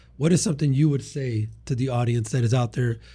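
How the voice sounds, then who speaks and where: Speaking at a very fast pace, a man with a medium pitch and a dark, mellow tone sounds somewhat breathy, his intonation fairly even. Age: 30s. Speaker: cleaning business podcast host. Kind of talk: casual interview. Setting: studio.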